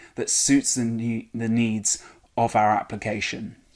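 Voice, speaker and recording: A man with a British accent speaks at a moderate pace on a very clean recording with a silent background. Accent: British accent, retained. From UK. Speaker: software engineer, conference speaker. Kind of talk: recorded conference talk. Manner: casual, with frequent fillers.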